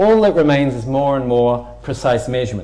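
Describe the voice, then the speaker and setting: With a New Zealand accent and lively intonation, a man speaks over noticeable background noise in audible room echo. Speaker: physics lecturer. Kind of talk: public lecture.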